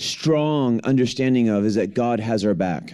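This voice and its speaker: Fairly slow delivery with ordinary pitch variation, in an American accent. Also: man. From US Midwest, Detroit, Michigan. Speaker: guest preacher. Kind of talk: sermon. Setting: church.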